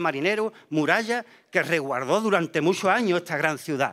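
A man's bright, sharp tone with lively intonation, a moderate pace and a quiet background. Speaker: presenter introducing the pregonero. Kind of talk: formal introduction with poetic verse reading. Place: stage. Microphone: podium.

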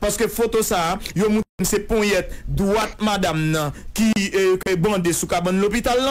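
A high-pitched male voice at a moderate pace with fairly even intonation. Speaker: political commentator. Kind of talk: radio interview.

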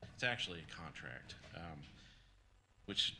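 Soft-spoken and fairly slow, a man speaks with a bright, sharp tone in a room with audible echo. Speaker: county program director presenting grant. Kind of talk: public meeting presentation. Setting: county council meeting room.

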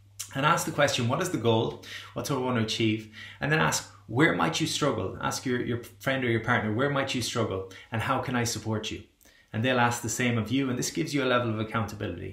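Over a quiet background with audible room echo, a man talks very fast with ordinary pitch variation. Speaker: wellbeing coach. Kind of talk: motivational talk to camera. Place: home room. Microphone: webcam.

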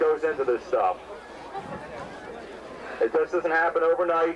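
There is noticeable background noise behind a man's voice. He keeps a moderate pace with ordinary pitch variation. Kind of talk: public address speech. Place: stadium.

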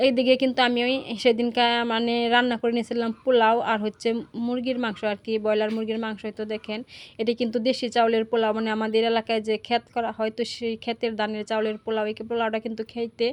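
A woman's fairly high voice, monotone with flat intonation. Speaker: family lifestyle vlogger. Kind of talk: vlog voiceover narration.

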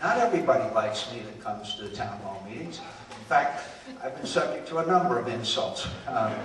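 Heard with audible room echo and light background noise, a man talks at a fairly quick pace with big swings in loudness. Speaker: politician. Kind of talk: campaign town hall speech. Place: hall. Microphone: handheld.

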